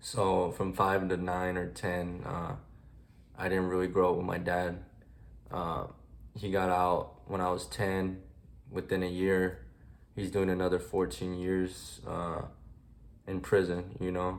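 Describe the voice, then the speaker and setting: A man with very deep, low pitch and fairly even intonation, a fairly slow pace with long, frequent pauses, and audible room echo. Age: 20s. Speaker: military veteran sharing his life story. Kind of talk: personal testimony vlog. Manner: halting, many fillers.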